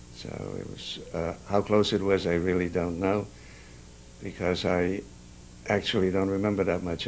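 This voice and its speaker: A man talks at a moderate pace with a very deep, low pitch and fairly even intonation. Long pauses come frequently. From Carpathian Ruthenia, near Chust. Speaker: Holocaust survivor. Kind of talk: oral history interview. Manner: halting, many hesitations.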